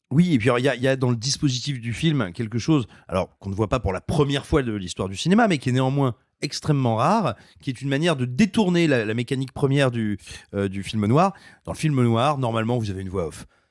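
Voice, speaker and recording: A man's very fast delivery, with lively intonation throughout. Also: medium pitch for a man, very clean recording, silent background. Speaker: film critic podcaster. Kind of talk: casual film discussion.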